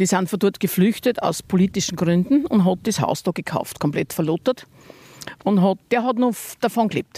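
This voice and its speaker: The woman's dark, mellow voice is somewhat breathy, with ordinary pitch variation and a dry, close sound with no echo. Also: medium pitch for a woman, moderate pace. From Upper Austria, Mühlviertel. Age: old. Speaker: farmer. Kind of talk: casual interview.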